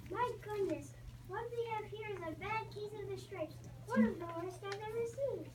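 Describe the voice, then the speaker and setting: A woman uses a squeaky, put-on character voice at a moderate pace over loud background noise. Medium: read story. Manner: bright, gentle.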